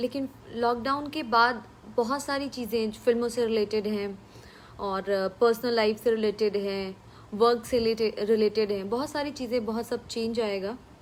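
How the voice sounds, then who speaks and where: A woman with a Bihari accent talks at a fairly high pitch with fairly even intonation. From Bhojpuri-speaking region of India. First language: Bhojpuri (speaking Hindi). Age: 20s. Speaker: film actress. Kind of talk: live stream Q&A with viewers. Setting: live stream from home. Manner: casual, with fillers.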